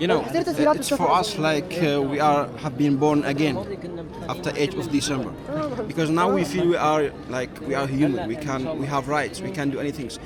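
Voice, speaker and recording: Amid crowd noise and audible room echo, a man speaks at a moderate pace in a fairly high pitch with ordinary pitch variation. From Syria. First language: Arabic. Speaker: sales manager, passerby. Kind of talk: casual street interview.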